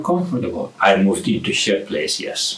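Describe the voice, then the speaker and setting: A man speaks with very wide pitch swings. Audible room echo and noticeable background noise surround him. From abroad, came to US in late teens. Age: 60s. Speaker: retired artist vlogger. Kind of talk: personal vlog monologue. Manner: halting.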